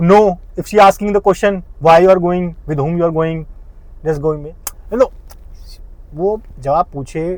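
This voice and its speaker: Pitched high, a man speaks in an animated tone. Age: 30s. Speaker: vlogger. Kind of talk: casual vlog monologue.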